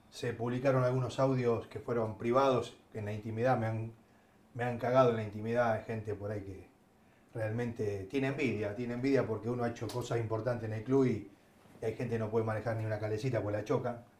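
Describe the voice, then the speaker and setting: Over noticeable background noise, a man rattles off words at a very fast pace, medium in pitch and monotone, with flat intonation. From Argentina, Avellaneda (Buenos Aires). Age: 50s. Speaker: former football club director. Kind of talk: casual chat.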